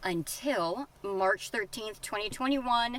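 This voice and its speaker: A woman talks at a fairly slow pace. Her fairly high voice has lively intonation. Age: 40s. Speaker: recovering addict vlogger. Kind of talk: personal testimony vlog. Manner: casual, with many fillers.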